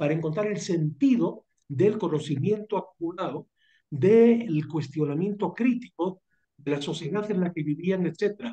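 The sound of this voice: This man has a high pitch yet a dark, mellow tone. His intonation is lively and his pace moderate.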